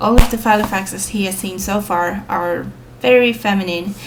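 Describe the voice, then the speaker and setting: Noticeable background noise behind a woman speaking at a medium pitch. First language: Swedish. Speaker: planner reviewer, vlogger. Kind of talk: product show-and-tell. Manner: hesitant, many fillers.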